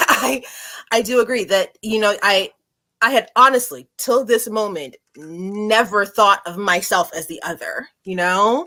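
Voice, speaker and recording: A woman's fairly high voice has a bright, sharp tone and moves at a fairly slow pace. Her loudness swings widely. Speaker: show host. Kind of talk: casual chat.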